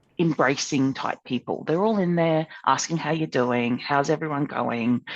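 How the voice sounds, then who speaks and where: A woman with an Australian accent speaks at a moderate pace with lively intonation. The sound is dry and close with no echo, over a quiet background. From Australia, Townsville. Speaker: ukulele club member. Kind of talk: podcast interview. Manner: loud; animated.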